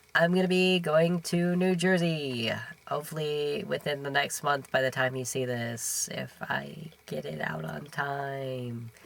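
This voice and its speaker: Noticeable background noise fills the recording. A man talks fairly slowly over it. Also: ordinary pitch variation. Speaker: podcast host. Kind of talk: casual chat. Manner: halting.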